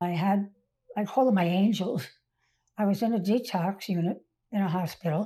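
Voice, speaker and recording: Pausing long and often, a woman with an American accent speaks in a somewhat breathy voice with a dark, mellow tone and ordinary pitch variation. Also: medium pitch for a woman, moderate pace. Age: 80s+. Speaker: recovered alcoholic sharing life story. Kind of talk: interview testimony.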